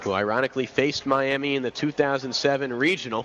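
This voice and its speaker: Over noticeable background noise, a man talks at a medium pitch in an energetic tone. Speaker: aspiring sports broadcaster. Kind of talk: radio baseball play-by-play call. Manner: fast, energetic.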